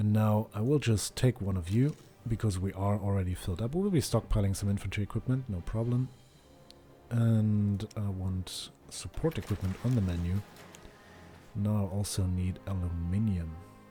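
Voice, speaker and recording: With music in the background, a man speaks in a German accent at a fairly low pitch, a moderate pace, and ordinary pitch variation. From Germany. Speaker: gaming YouTuber. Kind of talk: gameplay commentary.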